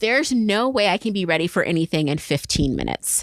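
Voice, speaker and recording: A woman speaks with noticeable background noise. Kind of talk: casual podcast conversation. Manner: animated, expressive.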